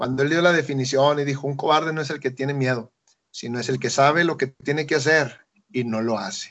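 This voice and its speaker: A man speaks quite quickly in an ordinary speaking voice. His pitch is fairly high, with fairly even intonation. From Mexico, Chiapas (Tapachula). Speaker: missionary. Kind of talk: radio interview.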